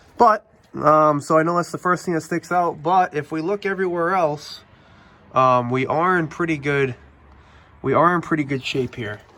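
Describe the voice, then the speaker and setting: With a New England accent, the speaker uses a bright, sharp tone, ordinary pitch variation and a moderate pace. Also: man. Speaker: car repair youtuber. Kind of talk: casual product review walkthrough. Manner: casual with frequent fillers.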